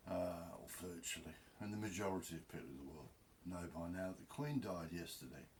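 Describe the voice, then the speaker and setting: A man's very deep, low voice, somewhat breathy, at a fairly quick pace, with ordinary pitch variation, big swings in loudness and audible room echo. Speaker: video blogger. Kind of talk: casual monologue. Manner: rambling, unscripted.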